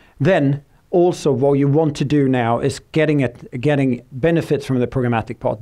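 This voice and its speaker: Fairly high male voice with a Swedish accent, a dark, mellow tone, ordinary pitch variation and a quiet background. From Sweden. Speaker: tech company speaker. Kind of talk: conference presentation. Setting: stage with audience. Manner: fast; halting, many fillers.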